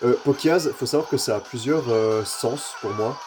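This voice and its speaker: A man's medium-pitched voice with ordinary pitch variation, music playing in the background. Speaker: gaming YouTuber. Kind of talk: gameplay commentary. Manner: casual, hesitant with fillers.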